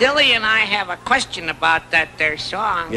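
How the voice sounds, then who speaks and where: At a middle pitch and a moderate pace, a cartoonish character voice plays over clear background noise. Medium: puppet show. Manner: goofy, punning.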